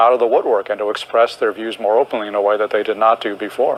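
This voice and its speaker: A man speaks with an American accent against noticeable background noise. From United States. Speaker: historian and political commentator. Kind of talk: TV interview.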